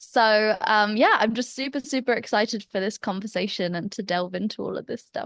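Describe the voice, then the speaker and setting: Talking at a fairly quick pace with hardly any pauses, a woman with an English accent has a fairly high pitch, and the sound is dry and close with no echo. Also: ordinary pitch variation. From England. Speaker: business coach. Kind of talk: podcast interview.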